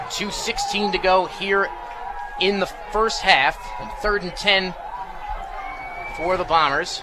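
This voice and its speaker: A man's raised, projected voice, high in pitch and energetic in tone, with ordinary pitch variation and music in the background. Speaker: radio football play-by-play announcer. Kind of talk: live sports play-by-play commentary. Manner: fast, energetic.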